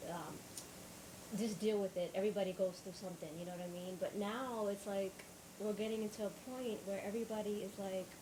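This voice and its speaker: Over noticeable background noise, a woman speaks at a fairly quick pace with a medium pitch and fairly even intonation. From Northeast Africa. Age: 30s. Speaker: podcast host. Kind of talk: personal monologue. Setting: live stream. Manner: halting.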